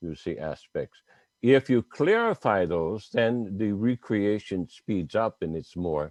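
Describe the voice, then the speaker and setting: The man speaks at a very slow pace, with fairly low pitch and lively intonation. The sound is dry and close, with no echo. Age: 70s. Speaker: medical doctor and author. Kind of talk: interview. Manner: halting.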